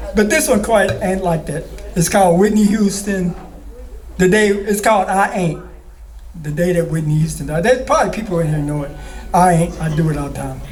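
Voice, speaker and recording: A man with a high pitch and ordinary pitch variation talks at a fairly quick pace, broken by long, frequent pauses. Audible room echo surrounds his voice. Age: 60s. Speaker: spoken word poet. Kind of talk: poetry performance.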